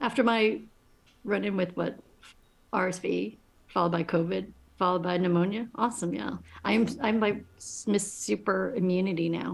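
A woman at medium pitch with an American accent and vocal fry, ordinary pitch variation, and long, frequent pauses. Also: moderate pace. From New York City. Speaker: podcast co-host. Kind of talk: casual chat.

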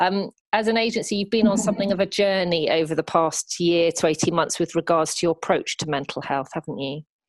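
In a dry, close sound with no echo, a woman with a British accent talks very fast with hardly any pauses, at a fairly low pitch with ordinary pitch variation. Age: 40s. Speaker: podcast host and editor. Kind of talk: interview. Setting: remote call.

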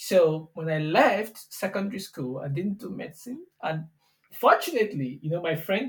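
A man speaks with a Nigerian accent. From southwestern Nigeria. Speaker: software engineer, tech company CTO. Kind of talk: interview conversation. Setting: studio.

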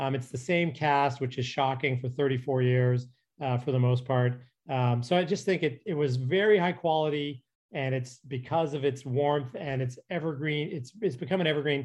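This man has a plain, everyday voice with a Canadian accent, fairly high in pitch, with ordinary pitch variation and a moderate pace. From Calgary, Canada. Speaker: TV comedy writer and producer. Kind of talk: interview.

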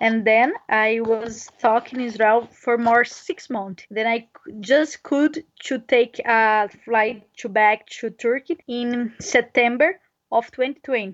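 The speaker has a Brazilian Portuguese accent. The pace is very slow. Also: woman, fairly high pitch for a woman, ordinary pitch variation. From Brazil, near Brasilia. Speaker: touring cyclist. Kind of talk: interview. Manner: halting non-native English.

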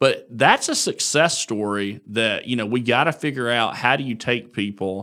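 A man with an Alabama accent, medium pitch and a bright, sharp tone, at a moderate pace with hardly any pauses and ordinary pitch variation, in a very clean recording with a silent background. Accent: Southern US (Alabama). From US South, northern Alabama (Marshall County). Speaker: politician. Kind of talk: interview.

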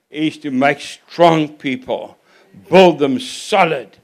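A man with a fairly high pitch at a very slow pace. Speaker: guest preacher. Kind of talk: sermon. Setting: church.

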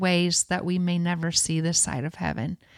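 A woman with a Midwestern accent speaks at a fairly low pitch in a dry, close sound with no echo, on a very clean recording with a silent background. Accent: Northern US, Midwestern. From Michigan. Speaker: songwriter and worship leader. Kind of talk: casual interview chat.

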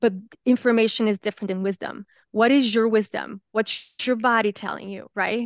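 The speaker has a Brazilian accent and a flat, monotone delivery at a moderate pace. The sound is dry and close, with no echo and a quiet background. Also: woman, fairly high pitch for a woman. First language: Portuguese. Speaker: holistic health coach and yoga teacher. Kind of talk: interview conversation.

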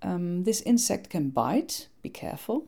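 A woman with a Dutch accent talks at a very slow pace. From Netherlands. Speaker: podcast host on eco-friendly gardening. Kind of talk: scripted narration.

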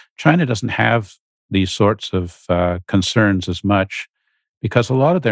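A man's fairly low voice in a Canadian accent, a normal speaking voice at a moderate pace, the sound dry and close with no echo. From Canada, Ottawa. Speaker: China policy expert. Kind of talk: interview.

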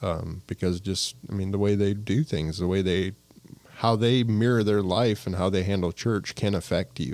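A man with an American accent speaks in a plain, everyday voice. His pitch is fairly low, with ordinary variation. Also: moderate pace. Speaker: local business owner. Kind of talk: casual chat.

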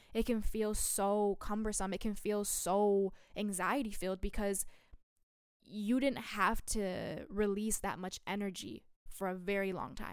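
A woman at medium pitch, fairly slow, with fairly even intonation. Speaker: solo podcast host. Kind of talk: casual monologue. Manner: unscripted, many fillers.

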